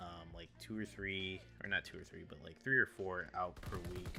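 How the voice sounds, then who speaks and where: Over music in the background, a man talks at a moderate pace in a very deep, low voice. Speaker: gaming YouTuber and streamer. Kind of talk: gameplay commentary. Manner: subdued, not enthusiastic; halting, many repeats.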